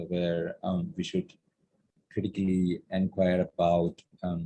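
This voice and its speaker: With a Keralan accent, a man speaks at very deep, low pitch. His tone is dark and mellow, and his pace fairly slow. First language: Malayalam. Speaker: artist. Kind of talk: panel discussion. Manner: halting, many fillers.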